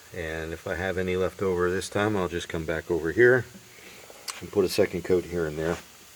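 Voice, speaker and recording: A man with a very deep, low voice speaks fairly quickly against noticeable background noise. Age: 60s. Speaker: DIY car restorer. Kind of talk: casual tutorial vlog. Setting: garage. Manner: hesitant, many fillers.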